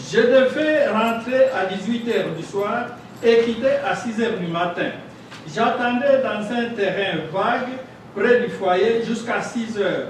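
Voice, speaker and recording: A man's extremely high voice with ordinary pitch variation at a fairly slow pace, amid noticeable background noise and audible room echo. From DR Congo. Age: 70s. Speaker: asylum seeker, former judge. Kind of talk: public hearing testimony. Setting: public hearing.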